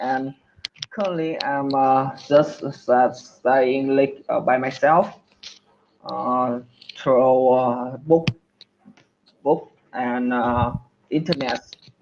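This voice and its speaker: A man in a Vietnamese accent at a very slow pace, with long, frequent pauses, medium pitch and fairly even intonation. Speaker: English learner. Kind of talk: one-on-one language lesson. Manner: halting, many fillers.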